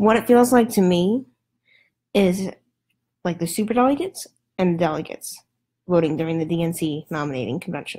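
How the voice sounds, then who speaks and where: A soft-spoken, somewhat breathy woman's voice, fairly low in pitch, with lively intonation, a fairly quick pace and long, frequent pauses. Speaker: political commentator livestreamer. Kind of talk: casual livestream commentary. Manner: hesitant, many fillers.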